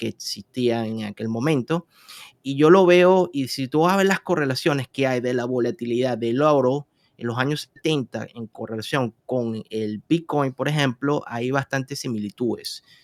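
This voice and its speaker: Speaking in a Venezuelan accent, a man keeps a moderate pace. His pitch is medium, and its variation ordinary. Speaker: investment and trading expert. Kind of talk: interview. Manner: hesitant, frequent fillers.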